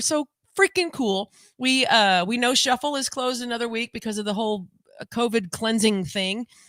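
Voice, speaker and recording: A woman speaks at a high pitch and a moderate pace, her tone bright and sharp. The recording is very clean, with a silent background and a dry, close sound with no echo. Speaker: live chat podcast co-host. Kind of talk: casual live-stream chat. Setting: live video stream. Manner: rambling, chatty.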